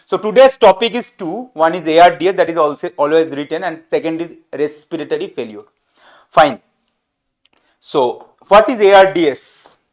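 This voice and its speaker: Here a man speaks with a Bengali accent at a high pitch. His intonation is lively and his pace moderate. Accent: Bengali-Indian English. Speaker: medical teacher. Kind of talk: lecture. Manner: halting.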